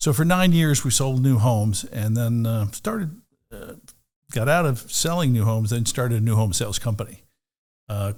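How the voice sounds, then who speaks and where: Male speech, somewhat breathy, with normal variation in pitch. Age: 60s. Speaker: real estate broker and team leader. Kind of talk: podcast interview. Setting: studio.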